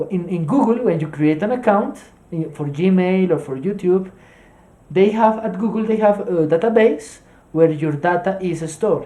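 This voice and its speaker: The speaker uses a Colombian accent and keeps a moderate pace. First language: Spanish. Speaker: streamer teaching SQL. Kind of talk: tutorial. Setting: live stream. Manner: halting, many fillers.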